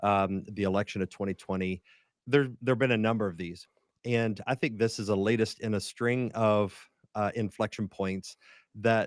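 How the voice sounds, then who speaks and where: With an American accent and a plain, everyday voice, a man speaks at a moderate pace, fairly low in pitch and with fairly even intonation, in a dry, close sound with no echo on a very clean recording with a silent background. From West Virginia (Huntington, Appalachia). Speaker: pastor and writer. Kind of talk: podcast interview.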